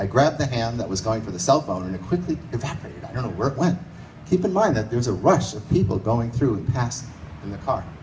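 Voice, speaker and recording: Lively intonation and a very fast pace come through with audible room echo. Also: man. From US Northeast, New York City. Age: 60s. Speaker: storyteller. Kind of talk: live storytelling. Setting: stage with audience in a bar.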